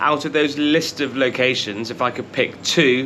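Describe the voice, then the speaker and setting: There is noticeable background noise. Through it, a man speaks with a British accent. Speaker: travel vlogger. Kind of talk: casual travel talk to camera. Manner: casual, conversational.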